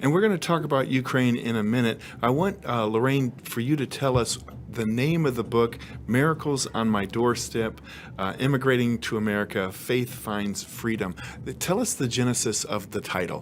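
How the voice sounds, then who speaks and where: This man has an ordinary speaking voice at a medium pitch, talking at a moderate pace with ordinary pitch variation. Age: 50s. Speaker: TV host and former journalist. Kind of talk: interview; scripted narration.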